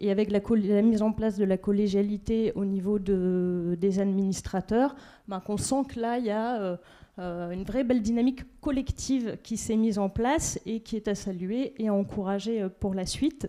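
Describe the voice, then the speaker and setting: Her voice is medium in pitch with a dark, mellow tone and ordinary pitch variation. The woman speaks at a moderate pace in a very clean recording with a silent background. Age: 30s. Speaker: local elected official. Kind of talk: speech at a general assembly. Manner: halting, many hesitations.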